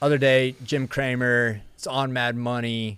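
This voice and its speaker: The background is silent and the recording very clean. A man talks in a Texan accent. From Texas. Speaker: energy show host. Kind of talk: casual live-stream chat. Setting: studio, live stream.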